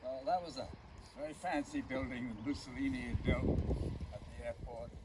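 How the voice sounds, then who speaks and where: Amid noticeable background noise, a man speaks in a fairly high pitch with lively intonation. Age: 80s+. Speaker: World War II veteran. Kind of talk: speech to an outdoor gathering. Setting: outdoors. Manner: hesitant, halting.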